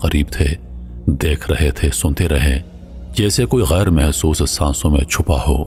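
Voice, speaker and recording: Music plays in the background. Over it, a man speaks with a very deep, low pitch. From Pakistan. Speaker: voice over artist. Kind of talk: religious story narration.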